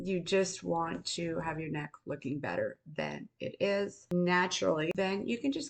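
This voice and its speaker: This woman's voice sits fairly low in pitch. Vocal fry runs through her speech. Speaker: beauty and skincare content creator. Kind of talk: casual talk to camera, beauty tutorial. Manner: friendly, conversational, explanatory.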